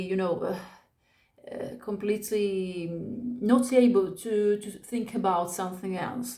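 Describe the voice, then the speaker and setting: Audible room echo surrounds a woman with an Italian accent speaking at a fairly slow pace in a medium pitch. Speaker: spiritual vlogger. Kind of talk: personal testimony. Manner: halting.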